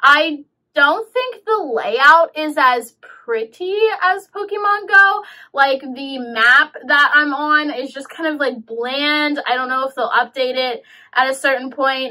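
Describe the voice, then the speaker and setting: Against a quiet background, a woman speaks very slowly in a raised, projected voice. Her intonation is lively and her loudness swings widely. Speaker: game reviewer vlogger. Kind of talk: casual vlog chat. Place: home room.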